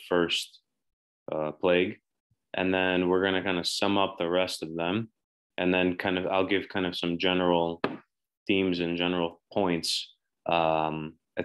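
A man speaks in a very deep, low pitch at a moderate pace. His intonation is monotone and flat, against a quiet background. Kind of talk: lecture. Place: home room. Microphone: webcam.

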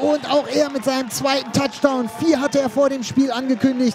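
The voice has an energetic, animated tone at a moderate pace. Noticeable background noise sits behind it. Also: man. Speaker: sports commentator, club video voiceover. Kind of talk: sports commentary over game highlights, voiceover recap. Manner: animated, brisk, enthusiastic play-by-play delivery; punchy, energetic, with a promotional call to action at the end.

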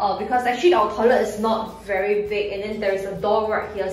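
The woman's intonation is fairly even. Audible room echo surrounds her voice. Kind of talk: casual tutorial. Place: bathroom. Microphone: phone near.

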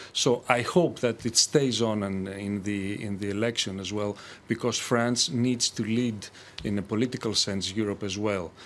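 A man speaks with a Greek accent at a fairly low pitch. His pace is moderate and his intonation fairly even. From Greece. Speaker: economist. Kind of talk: televised panel debate. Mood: calm, measured. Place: studio.

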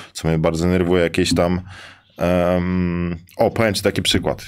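Against a quiet background, a man speaks in a very deep, low voice. His intonation is a flat monotone at a moderate pace. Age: 20s. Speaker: professional basketball player; guest. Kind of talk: casual interview. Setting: live studio at a sports arena. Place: studio. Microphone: studio mic.

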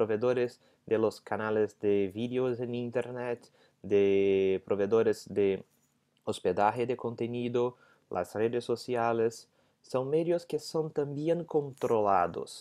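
Very slow, lively intonation in a Portuguese accent over a quiet background. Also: man. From Brazil. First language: Portuguese (speaking Spanish). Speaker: legal scholar. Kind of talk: lecture; interview answer. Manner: halting. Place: home room. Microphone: earbuds.

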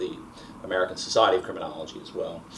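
A man is speaking. There is light background noise behind him. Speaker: interviewer. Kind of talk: oral history interview. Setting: filmed interview in Baltimore. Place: home room.

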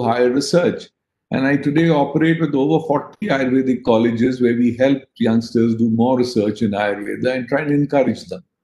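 A man's dark, mellow tone with audible room echo. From India. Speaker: politician and business executive. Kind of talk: panel discussion. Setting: video call. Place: home room. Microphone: video call.

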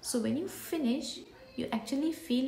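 Light background noise and audible room echo around a woman speaking. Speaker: beauty vlogger. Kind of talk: casual product review chat. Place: home room. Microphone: phone near.

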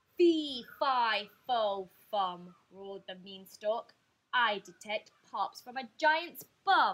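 In a put-on character voice, a woman bellows at a fairly high pitch, booming at a very slow pace. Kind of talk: storybook reading aloud. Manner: roaring, booming.

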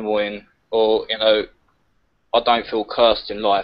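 A man speaks in a southern English accent at a moderate pace. The background is quiet. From southeast England. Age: 20s. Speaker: caller. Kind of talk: casual chat. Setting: video call. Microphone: video call.

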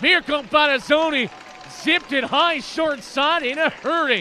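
Against crowd noise in the background, a man uses a raised, projected voice at a moderate pace. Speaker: radio play-by-play announcer. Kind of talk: live sports play-by-play commentary. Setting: radio broadcast from arena. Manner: animated, spiking in excitement on goals.

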